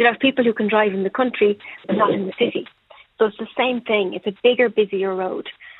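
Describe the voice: Dry and close with no echo, a woman talks at a fast pace and medium pitch, her intonation fairly even and her voice carrying a slightly husky edge.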